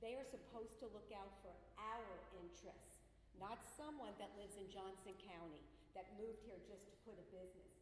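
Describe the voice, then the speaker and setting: Audible room echo and noticeable background noise surround a woman with a New Jersey accent who speaks at a medium pitch, a fairly quick pace and with fairly even intonation. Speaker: resident speaking at public hearing. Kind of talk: public comment. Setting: public meeting hall with microphone.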